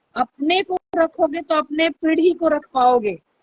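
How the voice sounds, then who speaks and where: A loud woman with lively intonation. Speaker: YouTube livestreamer. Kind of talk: live stream talk to viewers.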